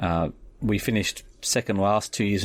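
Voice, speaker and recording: A man speaks with a strong Australian accent. His pitch is fairly low and his intonation fairly even. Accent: very Australian. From Australia (Sydney area). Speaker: rugby league fan. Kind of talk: personal story.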